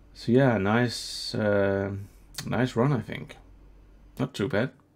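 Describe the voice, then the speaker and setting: A man speaks with a Danish accent at a very slow pace. His pitch is medium and his intonation fairly even. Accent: Danish accent, trying for British English. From Denmark. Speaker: gaming video creator. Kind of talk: let's play commentary. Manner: hesitant, many fillers.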